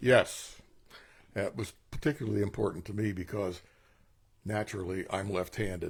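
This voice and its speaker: A man's fairly low, somewhat breathy voice with ordinary pitch variation, a moderate pace and long, frequent pauses, on a very clean recording with a silent background. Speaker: patient. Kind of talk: testimony.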